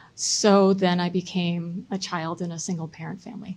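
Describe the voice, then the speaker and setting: Somewhat breathy, the voice carries an American accent, fairly even intonation, and a moderate pace. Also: woman. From US Midwest (Chicago, Michigan). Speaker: local politician, mayoral candidate. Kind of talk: candidate debate. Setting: public debate event with audience.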